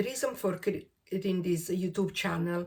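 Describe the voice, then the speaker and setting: Speaking with an Italian accent, a woman uses a medium pitch. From Italy, Rome. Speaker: crochet and knitting vlogger. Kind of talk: casual vlog introduction. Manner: hesitant, with fillers.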